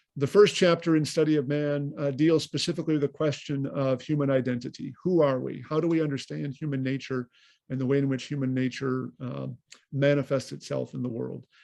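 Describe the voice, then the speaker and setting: A man's fairly high-pitched voice with a dark, mellow tone, fairly quick pace and fairly even intonation. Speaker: priest and lecturer. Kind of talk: lecture. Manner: fast; halting, many fillers.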